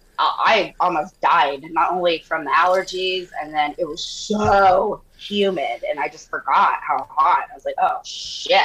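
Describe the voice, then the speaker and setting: With an American accent, a woman speaks with hardly any pauses over noticeable background noise. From US Southwest. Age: 40s. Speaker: model and podcaster. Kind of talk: casual chat. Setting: remote call. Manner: animated.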